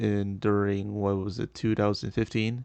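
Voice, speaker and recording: A man mumbles in a fairly low pitch. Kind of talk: casual commentary rant. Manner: hesitant, halting, many pauses and mumbles.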